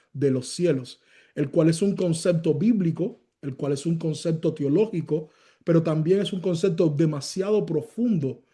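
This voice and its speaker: A loud man's voice, high-pitched with a dark, mellow tone, ordinary pitch variation and a fairly slow pace. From Cuba. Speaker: pastor. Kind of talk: sermon. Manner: loud, raises voice.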